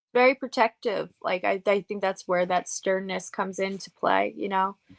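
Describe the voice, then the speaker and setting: A woman at a moderate pace, medium pitch and fairly even intonation, in a dry, close sound with no echo. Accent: American. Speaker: paranormal investigator and author. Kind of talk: interview. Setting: radio show.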